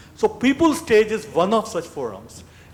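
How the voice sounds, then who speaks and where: Noticeable noise sits behind a man who speaks at a moderate rate. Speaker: advisory board member. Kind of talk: speech.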